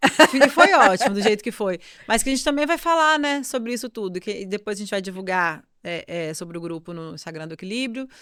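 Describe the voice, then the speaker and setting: Over a very clean recording with a silent background, a woman speaks at a fairly high pitch, making very wide pitch swings and big swings in loudness. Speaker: yoga teacher and podcast co-host. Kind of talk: casual chat. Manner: fast.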